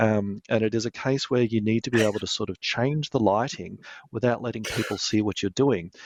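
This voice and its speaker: A man with an Australian accent, a medium pitch, fairly even intonation and a fairly quick pace, in a dry, close sound with no echo and a quiet background. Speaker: lighting product manager. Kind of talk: interview.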